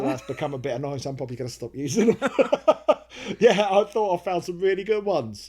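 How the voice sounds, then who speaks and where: Speaking very fast at a high pitch, a man with a dark, mellow tone moves through very wide pitch swings and big swings in loudness. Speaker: comedy writer and video maker. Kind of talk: casual Q&A talk to camera.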